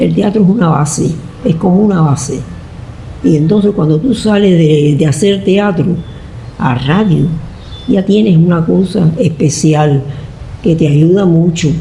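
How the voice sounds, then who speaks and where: A woman speaks at a fairly slow pace in a fairly low pitch, with very even loudness, long, frequent pauses and noticeable background noise. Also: ordinary pitch variation. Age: 80s+. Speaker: radio actress. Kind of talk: interview answer.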